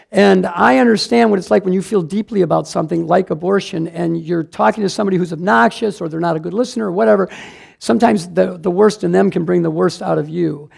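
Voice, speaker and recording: A man talks at a very fast pace in a high voice. His tone is animated and his intonation lively. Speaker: pro-life speaker and teacher. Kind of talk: church class talk.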